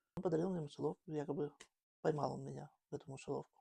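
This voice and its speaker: A woman speaks at a very fast pace in a very deep, low pitch, with vocal fry and a dark, mellow tone. The sound is dry and close, with no echo. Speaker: grandmother. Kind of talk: interview answer.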